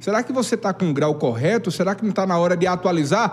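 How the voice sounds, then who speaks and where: A man speaks with lively intonation. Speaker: TV show host. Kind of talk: live TV interview. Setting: TV studio.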